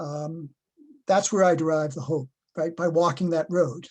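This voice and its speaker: Here a man with an American accent talks at a moderate pace, his pitch high and his intonation fairly even. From Boston. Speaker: professor. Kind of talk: webinar Q&A answer.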